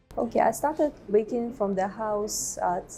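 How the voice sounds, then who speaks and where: There is noticeable background noise. A woman speaks at medium pitch and a moderate pace. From Russia. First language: Russian. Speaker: baker and business owner. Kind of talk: interview.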